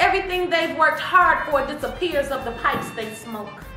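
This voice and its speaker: Over music in the background, a woman with an American accent projects a raised voice at an extremely high pitch and a moderate pace. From Detroit, Michigan. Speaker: spoken word poet. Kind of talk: poetry reading. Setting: studio.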